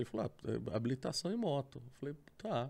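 A man's fairly high voice with a dark, mellow tone, delivered at a very fast pace. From Sorocaba, São Paulo state, Brazil. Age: 40s. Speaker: motorcycle traveler. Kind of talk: casual chat. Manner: animated.

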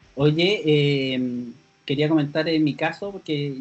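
With a Chilean accent, a man speaks at a fairly slow pace in a fairly high pitch with fairly even intonation. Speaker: podcast host. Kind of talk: casual chat.

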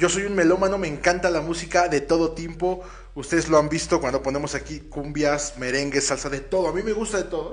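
Amid noticeable background noise and audible room echo, a man with a high voice and an animated tone talks fairly quickly with ordinary pitch variation. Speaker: radio host. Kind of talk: casual chat. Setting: studio.

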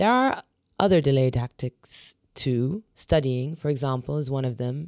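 Her pitch is very deep and low. This woman's tone is dark and mellow. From England, of Syrian-Palestinian family. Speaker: podcast host and journalist. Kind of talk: personal reflective monologue.

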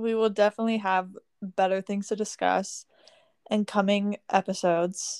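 A woman's monotone, flat delivery at a moderate pace, dry and close with no echo, on a very clean recording with a silent background. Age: 19. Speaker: podcast co-host. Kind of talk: casual chat.

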